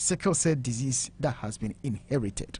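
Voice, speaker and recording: Someone with a Ghanaian accent speaks at a fairly slow pace. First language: Twi. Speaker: radio show host. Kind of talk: talk show interview on health.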